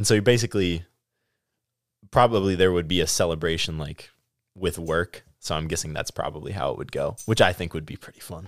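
With an American accent, a man speaks in a very deep, low pitch and fairly even intonation. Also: fairly quick pace, big swings in loudness, very clean recording, silent background. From US Midwest (Stoughton, Wisconsin). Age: 20s. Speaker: accounting student. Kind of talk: casual chat. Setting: studio.

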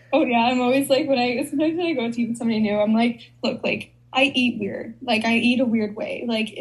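With an American accent and a normal speaking voice, a woman talks at a fairly quick pace, her fairly high pitch showing ordinary variation. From Chicago. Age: 20s. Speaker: content creator. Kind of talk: casual chat.

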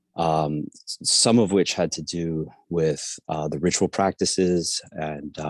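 Very deep, low pitch from a man with an American accent, fairly even intonation, a dry, close sound with no echo, quiet background. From South America, raised in the US from age seven. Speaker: professor. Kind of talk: interview. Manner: hesitant, many fillers.

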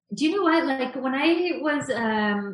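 A woman with a Canadian accent speaks in a somewhat breathy voice with lively intonation. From Canada, Vancouver suburbs. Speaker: graphic designer and illustrator. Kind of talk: interview.

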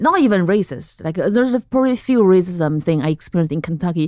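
A woman with a Chinese accent talks at a very fast pace, fairly low in pitch, with lively intonation. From central China. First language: Mandarin Chinese. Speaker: comedian. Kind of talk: casual chat.

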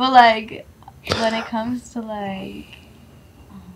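Someone speaks at a fairly slow pace with noticeable background noise. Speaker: podcast guest. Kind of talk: casual chat. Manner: loud; animated.

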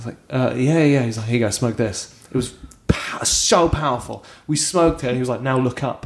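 At a fairly quick pace, a man talks in a normal speaking voice, medium in pitch with ordinary pitch variation. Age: 30s. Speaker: comedian. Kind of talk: casual chat.

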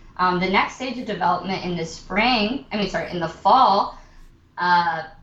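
A woman with an American accent, a medium pitch, ordinary pitch variation and a moderate pace, in audible room echo. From Austin, Texas. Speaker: actor and theater producer. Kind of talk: interview.

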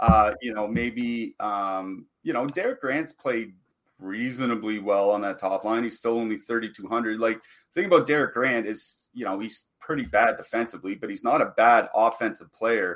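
At a moderate pace, a man talks in a normal speaking voice of medium pitch with ordinary pitch variation. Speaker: daily fantasy hockey analyst. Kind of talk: casual analysis discussion.

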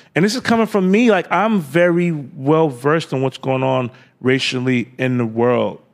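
Speaking at a moderate pace, a man uses lively intonation at a fairly high pitch. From New York, Queens. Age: 30s. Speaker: fashion designer. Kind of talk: casual interview. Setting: studio.

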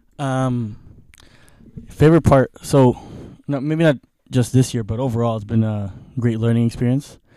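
Here a man talks at a medium pitch and a moderate pace. His tone is dark and mellow, and his intonation fairly even. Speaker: producer. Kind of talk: casual chat.

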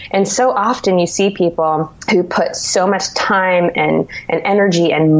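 Over noticeable background noise, a woman speaks at medium pitch with a West Coast American accent. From California. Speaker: dietitian. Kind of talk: interview. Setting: video call.

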